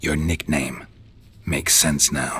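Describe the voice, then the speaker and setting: A man growls in a put-on character voice pitched very deep and low. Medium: machinima. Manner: terse, deadpan.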